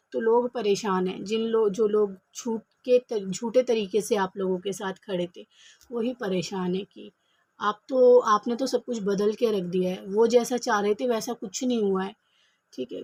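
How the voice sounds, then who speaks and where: A soft-spoken woman with a fairly high, somewhat breathy voice talks at a moderate pace with ordinary pitch variation and big swings in loudness, in a dry, close sound with no echo. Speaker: tarot reader. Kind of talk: tarot reading. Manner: soft-spoken, speaking quietly.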